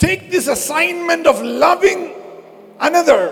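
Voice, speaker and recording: Extremely high-pitched man with a Keralan accent, fairly slow pace, noticeable background noise. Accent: Indian (Malayali) English. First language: Malayalam. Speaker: pastor. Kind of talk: sermon. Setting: church service.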